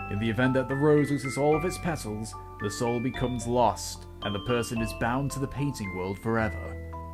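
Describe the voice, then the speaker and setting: Over music in the background, a man talks at a fairly quick pace and medium pitch, his voice making very wide pitch swings. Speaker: game reviewer. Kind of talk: game review commentary. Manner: trying to sound professional.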